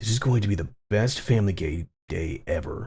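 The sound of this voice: The background stays quiet behind an unforced reading voice.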